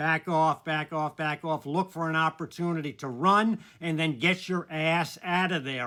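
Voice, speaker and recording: A man with a fairly high pitch and a bright, sharp tone at a moderate pace, on a very clean recording with a silent background. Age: 80s+. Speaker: martial arts instructor. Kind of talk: casual talk to camera. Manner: conversational, frequent fillers.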